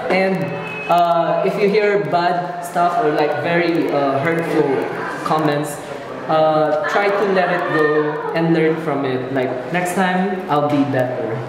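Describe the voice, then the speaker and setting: Speech comes at a very slow pace, with noticeable background noise and audible room echo. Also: man. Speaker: cosplayer. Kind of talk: casual interview answers. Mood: friendly, relaxed, thoughtful. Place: hall. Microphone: phone near.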